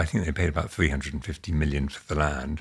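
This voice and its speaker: With a British accent and vocal fry, the voice shows ordinary pitch variation in a very clean recording with a silent background. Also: man. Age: 60s. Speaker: property developer and chairman. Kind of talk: casual interview.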